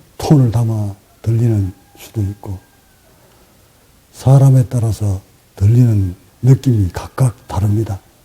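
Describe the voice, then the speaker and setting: With a strong Gyeongsang accent, the speaker goes at a very slow pace with fairly even intonation and long, frequent pauses. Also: man, medium pitch for a man. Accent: Gyeongsang dialect pronunciation, strong. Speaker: meditation teacher. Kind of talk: dharma talk. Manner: sometimes sharp, sometimes gentle.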